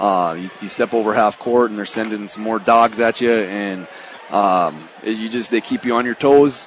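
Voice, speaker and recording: A man talks at a moderate pace in a fairly low pitch with ordinary pitch variation, over noticeable background noise. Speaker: high school basketball head coach. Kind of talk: post-game coach interview. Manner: halting, with many fillers and repeats.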